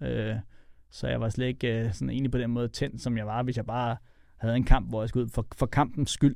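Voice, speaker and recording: A man's unremarkable speaking voice at medium pitch, fairly even in intonation and fairly quick, on a very clean recording with a silent background. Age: 40s. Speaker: MMA fighter and coach. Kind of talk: casual interview chat.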